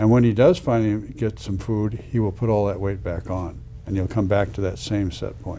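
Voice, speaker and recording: A man speaks with a dark, mellow tone and fairly low pitch, at a moderate pace. His pitch varies in an ordinary way, with light background noise behind him. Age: 70s. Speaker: cardiac surgeon and weight-loss physician. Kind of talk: interview conversation. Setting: in-person interview. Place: office. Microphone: lapel.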